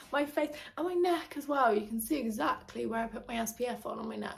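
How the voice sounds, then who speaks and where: A woman with a British accent, very fast and lively in intonation, over noticeable background noise. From England. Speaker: lifestyle vlogger. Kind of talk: casual chat. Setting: at home. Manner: chatty, filler-heavy.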